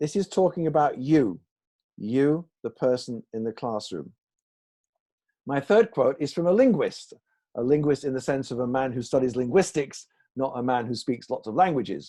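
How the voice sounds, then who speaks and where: With a northern English accent, a man speaks at a moderate pace and medium pitch in a dark, mellow tone, using lively intonation and long, frequent pauses. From northern England, Salford. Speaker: English teaching author and trainer. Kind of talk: online presentation. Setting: video call.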